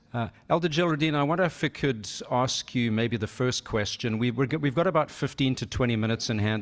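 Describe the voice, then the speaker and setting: A man with a normal speaking voice talks at a fairly quick pace with lively intonation. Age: 60s. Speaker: workshop moderator. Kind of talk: moderated panel discussion. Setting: conference room with audience, remote guest.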